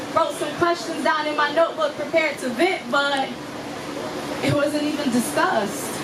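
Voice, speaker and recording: Noticeable background noise accompanies a woman speaking at a moderate pace with ordinary pitch variation. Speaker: spoken word poet. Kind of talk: live spoken word performance. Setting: live venue with audience.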